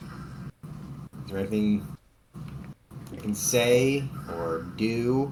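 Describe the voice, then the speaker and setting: A man with an American accent speaks at a medium pitch. Noticeable background noise and audible room echo fill the recording. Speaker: tabletop role-playing game player. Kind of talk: in-character role-play. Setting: Discord voice call.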